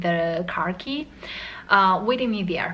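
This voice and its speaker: With a non-native accent, a woman speaks at a fairly slow pace over noticeable background noise. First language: not English. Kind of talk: casual talk to camera. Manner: hesitant, many fillers.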